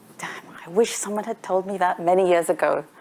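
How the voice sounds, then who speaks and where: A woman talks at a moderate pace in a medium pitch. Noticeable background noise runs underneath. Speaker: debate panelist. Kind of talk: formal debate speech.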